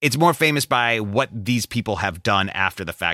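A man with an American accent and a bright, sharp tone speaks with ordinary pitch variation, in a very clean recording with a silent background and a dry, close sound with no echo. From US Midwest, Chicago area. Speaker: podcast host and audio producer. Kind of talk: casual banter.

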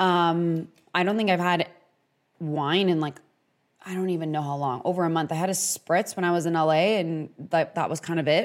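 In an American accent, a woman with a fairly low pitch speaks at a moderate pace with fairly even intonation on a very clean recording with a silent background. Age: 30s. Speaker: wellness podcast host. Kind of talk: casual solo podcast monologue. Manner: casual, conversational with fillers.

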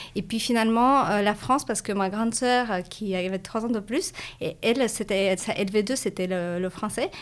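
On a very clean recording with a silent background, a woman with a Russian accent talks at a fairly slow pace with ordinary pitch variation. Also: fairly high pitch for a woman. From Latvia, Russian-speaking community of Riga. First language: Russian (speaking French). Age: 30s. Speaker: business school graduate, startup employee. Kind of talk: interview. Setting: livestream video.

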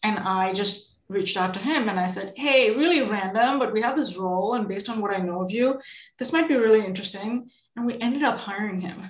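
A woman's fairly high, somewhat breathy voice with ordinary pitch variation at a fairly quick pace. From India. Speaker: venture capitalist. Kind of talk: interview.

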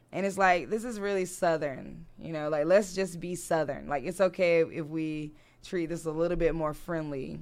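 Speaking in an American accent at a moderate pace, a woman has a fairly low pitch, fairly even intonation and an ordinary speaking voice. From US South, Durham, North Carolina. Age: 30s. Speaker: creative entrepreneur and digital coach. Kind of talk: casual interview chat. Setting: studio.

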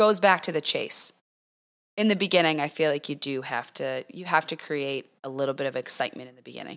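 On a very clean recording with a silent background, a woman with an American accent talks at a fairly quick pace in an animated tone. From US East Coast. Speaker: podcast co-host. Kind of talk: casual chat. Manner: animated, joking.

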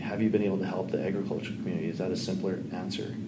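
A man talks very fast in a fairly low voice. Audible room echo and noticeable background noise fill the recording. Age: 40s. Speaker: podcast host. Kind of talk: interview conversation.

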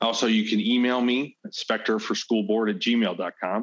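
Over a quiet background, a man with an American accent talks in an unremarkable speaking voice at a moderate pace. His pitch is medium, with ordinary variation. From US Midwest, St. Louis County, Missouri. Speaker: school board candidate. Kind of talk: interview.

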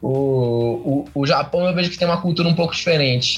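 This is an unremarkable speaking voice with ordinary pitch variation. It moves at a moderate pace. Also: man. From Curitiba, Paraná, Brazil. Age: 20s. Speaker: climbing coach and route setter. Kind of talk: casual interview.

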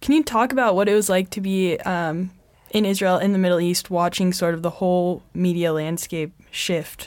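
A woman's medium-pitched voice at a moderate pace, with ordinary pitch variation and a plain, everyday voice. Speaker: university student interviewer. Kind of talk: interview.

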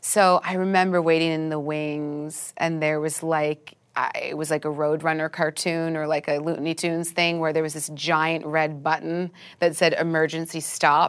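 Delivered at a moderate pace in a monotone, flat intonation, the speech comes through on a very clean recording with a silent background. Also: woman, very deep, low pitch for a woman. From Canada, Vancouver. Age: 30s. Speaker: actress. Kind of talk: interview.

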